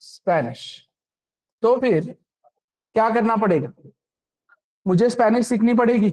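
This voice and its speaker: The speaker talks with a Marathi accent, leaving long, frequent pauses. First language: Marathi (speaking Hindi). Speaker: programming instructor. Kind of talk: lecture. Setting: classroom with online students. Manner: interactive, frequent check-in questions.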